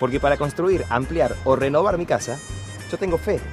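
Over music in the background, a man speaks at a fairly high pitch with very wide pitch swings. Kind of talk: TV commercial dialogue.

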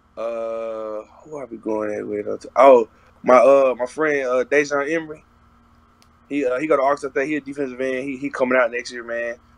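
A man speaks with an American accent at a moderate pace, his intonation fairly even. His loudness swings widely, and the sound is dry with no echo. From Texas. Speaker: college football player. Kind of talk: interview. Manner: casual, lots of filler. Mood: relaxed, casual. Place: home room. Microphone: video call.

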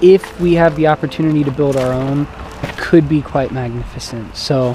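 The man's intonation is fairly even, and his pace is moderate. The sound is dry with no echo, over light background noise. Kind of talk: casual vlog chat. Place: open country. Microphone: phone near.

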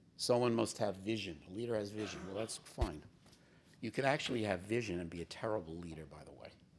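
A man's very fast speech with big swings in loudness over light background noise. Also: fairly low pitch for a man, ordinary pitch variation. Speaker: business executive and navy veteran; guest. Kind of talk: keynote speech. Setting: stage with audience. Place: hall. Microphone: podium.

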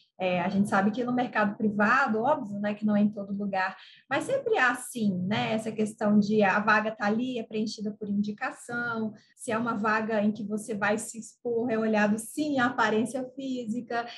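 A woman's somewhat breathy, fairly high voice at a moderate pace, with hardly any pauses and fairly even intonation. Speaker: interviewer. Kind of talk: interview, conversational. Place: home room. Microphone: video call.

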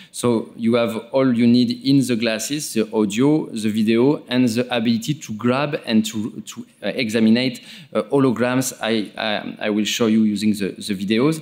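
With a French accent, a man speaks at a moderate pace with hardly any pauses and fairly even intonation. The background is quiet. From France. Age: 40s. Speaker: interventional neuroradiologist. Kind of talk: conference presentation. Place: hall.

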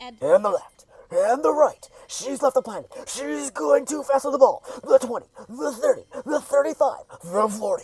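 A put-on character voice shouts at a high pitch and a fairly slow pace. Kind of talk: frantic sports commentary. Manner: manic, shouting.

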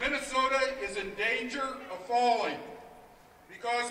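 With audible room echo and light background noise, a man speaks in a raised, projected voice at a fairly slow pace, using ordinary pitch variation. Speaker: union executive director. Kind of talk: impassioned rally speech with rhetorical questions. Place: street.

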